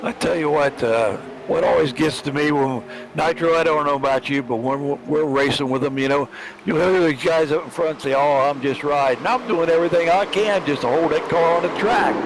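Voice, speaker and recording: Noticeable background noise sits under a man's fairly high voice, which holds very even loudness and ordinary pitch variation. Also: fairly quick pace. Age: 70s. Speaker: sim racer and co-commentator. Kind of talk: live commentary.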